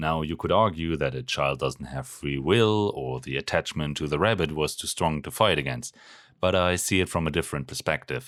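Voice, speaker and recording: A man with a German accent and a very deep, low pitch, vocal fry, ordinary pitch variation and a moderate pace, on a very clean recording with a silent background. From Germany. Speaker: pharmacist and video essayist. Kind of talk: video essay narration; casual talk to camera.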